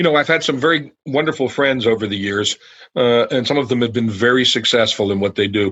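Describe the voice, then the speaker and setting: Medium in pitch with ordinary pitch variation, a man with an American accent has an unremarkable speaking voice. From New Jersey, US. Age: 60s. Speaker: food company founder. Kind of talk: podcast interview. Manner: conversational with fillers.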